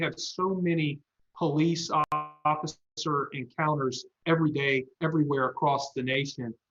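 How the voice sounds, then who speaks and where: A man with an American accent talks at a fairly high pitch. He has a plain, everyday voice and fairly even intonation. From US South, South Carolina. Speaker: lawyer. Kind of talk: panel discussion.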